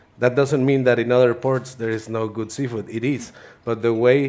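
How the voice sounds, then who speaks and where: With an American accent, a man talks in fairly even intonation. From Mexico, Ensenada, Baja California. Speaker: chef. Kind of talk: cooking presentation. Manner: halting, many repetitions.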